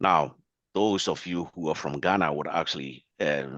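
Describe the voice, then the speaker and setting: A man speaks at a fairly quick pace in a very deep, low voice with vocal fry and ordinary pitch variation. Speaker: biostatistics professor. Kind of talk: lecture.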